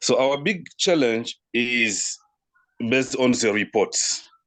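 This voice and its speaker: With a French accent, a man of medium pitch talks at a very slow pace with ordinary pitch variation. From DR Congo. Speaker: partner organization representative. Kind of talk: online meeting discussion. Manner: halting.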